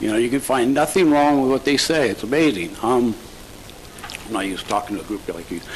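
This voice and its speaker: A man talks at a very fast pace with lively intonation. Noticeable background noise can be heard. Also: medium pitch for a man. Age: 60s. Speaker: real estate broker, public commenter. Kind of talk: public comment at county board meeting. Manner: halting, many fillers and restarts; emotional, impassioned.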